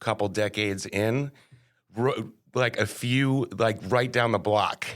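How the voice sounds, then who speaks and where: Speaking with a Connecticut accent, a man uses a medium pitch and fairly even intonation at a very slow pace. The recording is very clean, with a silent background. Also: very even loudness. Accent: Northeastern US (Connecticut). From Connecticut, New Haven. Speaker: board game café owner. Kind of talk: casual interview chat.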